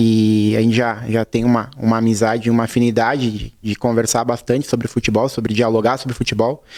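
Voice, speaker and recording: A man's monotone, flat delivery at a fairly quick pace with hardly any pauses. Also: medium pitch for a man. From southern Brazil, Serra Gaúcha (Flores da Cunha). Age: 30s. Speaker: assistant football coach. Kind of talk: TV interview.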